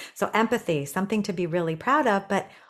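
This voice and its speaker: Against a quiet background, a woman with a plain, everyday voice speaks with fairly low pitch and ordinary pitch variation. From Canada, Toronto. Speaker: executive coach. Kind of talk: casual interview.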